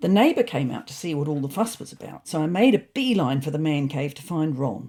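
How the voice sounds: Putting on a character voice, a woman talks at a fairly quick pace in a low pitch, her tone dark and mellow with a slightly husky edge and her intonation lively.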